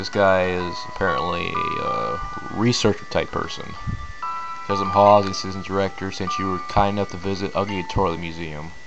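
Clear music plays in the background while a man speaks at a very fast pace. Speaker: let's play gamer. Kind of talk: commentary. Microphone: phone near.

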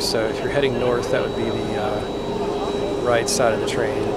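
A man is heard in a dry, echo-free recording with loud background noise. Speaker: family travel vlogger. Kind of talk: casual vlog chat. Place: station. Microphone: phone near.

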